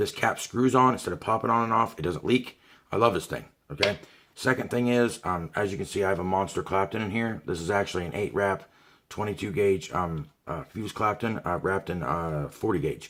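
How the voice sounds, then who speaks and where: Speaking at a fairly quick pace, a man with an American accent uses a fairly low pitch and ordinary pitch variation. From Ohio. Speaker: product reviewer. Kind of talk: product review video. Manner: fast; animated. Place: home room. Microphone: webcam.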